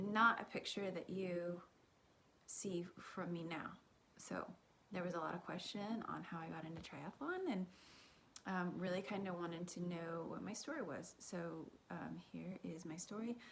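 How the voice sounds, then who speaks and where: With an American accent, a woman speaks at a fairly low pitch with vocal fry and fairly even intonation. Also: moderate pace. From Kansas and Texas. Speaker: fitness vlogger, triathlete. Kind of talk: personal story. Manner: casual, many fillers.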